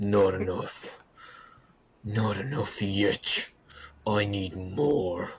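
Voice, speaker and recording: In a put-on character voice, a man growls at a fairly low pitch. He goes at a very slow pace with long, frequent pauses. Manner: snarling, frustrated.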